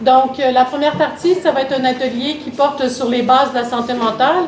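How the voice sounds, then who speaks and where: A woman's high-pitched voice with a slight Canadian French accent and ordinary pitch variation, plus noticeable background noise and audible room echo. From Canada. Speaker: mental health consultant, workshop facilitator. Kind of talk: workshop presentation. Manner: hesitant, many fillers.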